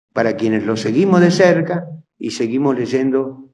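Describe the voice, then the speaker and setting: A man talks with lively intonation. There is audible room echo. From Argentina, provinces (railway town). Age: 70s. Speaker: historian and lecturer. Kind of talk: lecture.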